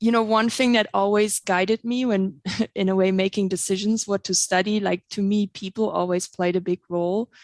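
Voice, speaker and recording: A woman with a German accent talks at a moderate pace and medium pitch, in a monotone, flat intonation with very even loudness. The sound is dry and close with no echo, on a very clean recording with a silent background. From Germany (East Germany, Halle). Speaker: plant pathologist, researcher. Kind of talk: podcast interview.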